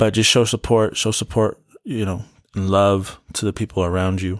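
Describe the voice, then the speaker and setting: A man, using an ordinary speaking voice, talks fairly quickly. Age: 20s. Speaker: podcast host. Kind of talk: casual solo monologue. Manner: relaxed, frequent laughs and fillers.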